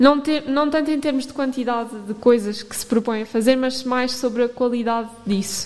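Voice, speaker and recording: This voice moves at a moderate pace with fairly even intonation and big swings in loudness, with noticeable background noise behind it. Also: woman, high pitch for a woman. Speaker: radio host. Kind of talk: casual chat. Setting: studio.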